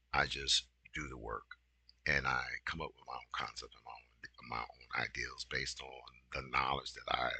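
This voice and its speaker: The man's delivery moves along at a fairly slow pace. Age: 60s. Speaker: business consultant and video host. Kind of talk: casual monologue. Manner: rambling with many fillers, halting; direct, emphatic.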